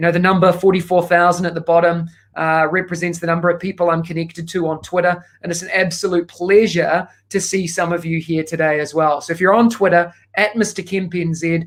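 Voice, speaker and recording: A man with a strong New Zealand accent speaks at a fairly quick pace in a high voice. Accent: thick New Zealand. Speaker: education consultant. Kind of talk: keynote talk. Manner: fast; animated.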